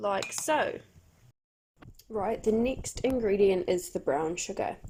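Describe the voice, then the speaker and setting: A woman with a New Zealand accent, very slow in pace, with very wide pitch swings. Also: medium pitch for a woman. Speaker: church volunteer presenting a cooking video for children. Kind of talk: tutorial.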